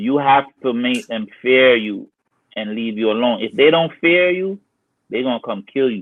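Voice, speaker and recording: A man speaks with an American accent in an ordinary speaking voice. His pitch is medium, his pace moderate and his intonation lively. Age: 60s. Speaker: former gang member. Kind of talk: storytelling interview. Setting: live stream call-in.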